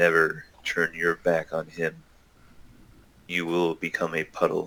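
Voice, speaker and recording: Using a put-on character voice, a man speaks with very deep, low pitch. His pace is fairly slow. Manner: stern.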